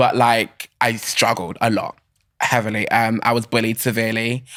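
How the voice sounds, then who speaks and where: In a southern English accent, a man talks at medium pitch with a bright, sharp tone. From England (Bishop's Stortford, Hertfordshire/Essex). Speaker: creative, podcast guest. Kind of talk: casual chat. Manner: fast, filler-heavy ('like').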